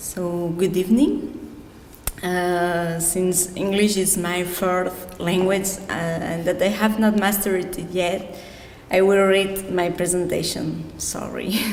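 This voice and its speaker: A woman at a very slow pace, medium in pitch with monotone, flat intonation, amid audible room echo and noticeable background noise. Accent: Catalan Spanish. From Catalonia, Spain. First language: Catalan. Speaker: glass artist, award winner. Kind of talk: reading aloud acceptance speech.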